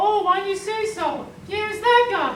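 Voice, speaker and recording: A put-on character voice, squeaky and extremely high, at a moderate pace with slight echo. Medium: stage play. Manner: hesitant, confused.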